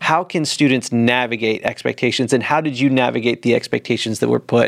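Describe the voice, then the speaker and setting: A man talks in a plain, everyday voice at medium pitch. He keeps a moderate pace and fairly even intonation, with hardly any pauses. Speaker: podcast co-host. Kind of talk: interview.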